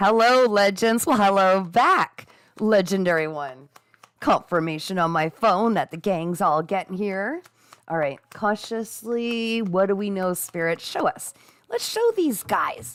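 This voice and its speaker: At a fairly slow pace, a woman with a medium pitch speaks in an animated tone with ordinary pitch variation. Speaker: psychic reader. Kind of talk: live psychic reading stream. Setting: livestream. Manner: loud.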